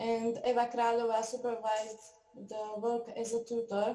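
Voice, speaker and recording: A dark, mellow tone carries a Slovak accent in monotone, flat intonation. Audible room echo is present. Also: woman. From Slovakia, Hont region. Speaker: university researcher presenting. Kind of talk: scripted presentation.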